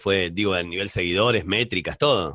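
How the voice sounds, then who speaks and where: A man talks in a plain, everyday voice at a moderate pace, with ordinary pitch variation. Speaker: podcast host. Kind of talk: interview conversation.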